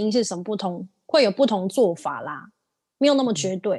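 A woman with a fairly high pitch. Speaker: podcast co-host. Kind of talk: casual chat. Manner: calm, even.

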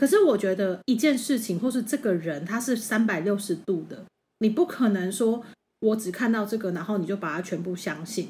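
A somewhat breathy voice with a dark, mellow tone, moderate pace and lively intonation. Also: woman, medium pitch for a woman. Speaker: podcast co-host. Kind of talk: casual chat.

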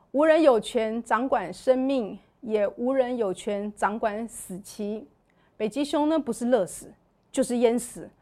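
Someone with a Taiwanese accent talks at a very slow pace, with big swings in loudness. The recording is very clean, with a silent background. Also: woman, fairly high pitch for a woman, ordinary pitch variation. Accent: Taiwanese Mandarin. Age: 40s. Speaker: church member sharing her life story. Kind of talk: testimony.

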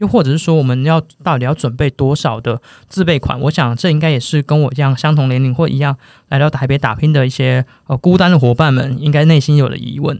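Very fast and fairly high-pitched, a man talks with fairly even intonation. The sound is dry and close, with no echo. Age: 20s. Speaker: podcast co-host. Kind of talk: casual chat.

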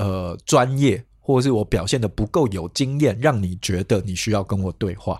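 An unremarkable speaking voice from a man, moderate in pace with hardly any pauses, on a very clean recording with a silent background. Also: fairly low pitch for a man, ordinary pitch variation. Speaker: podcast co-host. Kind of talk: casual chat about emotions.

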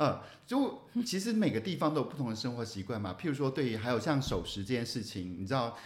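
At a very fast pace, a man speaks in a somewhat breathy voice with lively intonation. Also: medium pitch for a man. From Taiwan, Taichung. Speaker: podcast co-host, former reporter. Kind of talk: casual chat.

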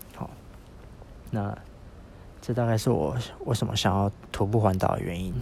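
Against noticeable background noise, a man with a fairly low pitch talks at a moderate pace, using ordinary pitch variation and long, frequent pauses. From Taiwan, Yilan. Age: 20s. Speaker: podcaster on a walking trip. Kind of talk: spoken travel diary. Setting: outdoors. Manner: halting, many fillers.

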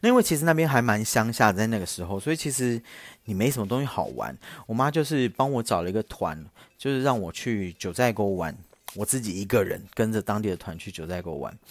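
A man at a medium pitch, with lively intonation and a fairly quick pace. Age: 30s. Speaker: podcast host. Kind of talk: casual storytelling monologue. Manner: louder than before.

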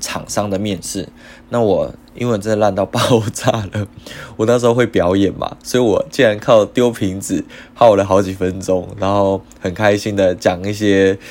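At a moderate pace, a man with a fairly low pitch talks in an ordinary speaking voice with ordinary pitch variation. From Taiwan. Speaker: podcast host. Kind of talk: casual monologue.

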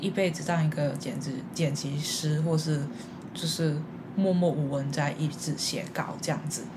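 A woman talks at a moderate pace, her voice carrying audible room echo amid noticeable background noise. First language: Cantonese (speaking Chinese). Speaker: podcast host. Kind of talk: casual chat.

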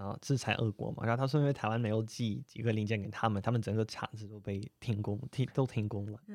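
Talking at a very fast pace with hardly any pauses, a man keeps a fairly low pitch and fairly even intonation. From Russia. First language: Russian (speaking Chinese). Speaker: Russian guest commentator. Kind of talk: casual interview. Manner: halting, many fillers.

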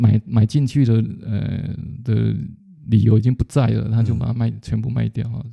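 A man talks at a moderate speed. The audio is dry and close-up, without any echo. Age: 50s. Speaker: retired business executive, book club leader. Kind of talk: interview. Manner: halting, with repetitions.

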